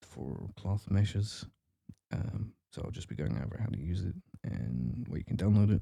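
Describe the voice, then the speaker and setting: The voice is soft-spoken, dark and mellow, with vocal fry. Its pitch swings very widely. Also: man. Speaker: modding tutorial creator. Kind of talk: tutorial. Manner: quiet, soft-spoken; hesitant with fillers.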